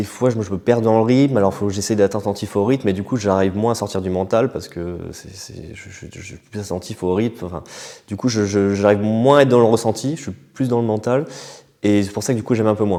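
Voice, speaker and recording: A man talks at a fairly quick pace with a fairly low pitch and fairly even intonation. His loudness swings widely. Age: 30s. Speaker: breathwork practitioner. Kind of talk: interview answer. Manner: hesitant, casual.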